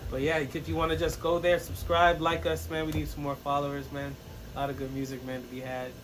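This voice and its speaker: Very fast and lively in intonation, a man at a fairly high pitch speaks amid noticeable background noise and audible room echo. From Jamaica and England. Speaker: rapper. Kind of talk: casual chat. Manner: animated.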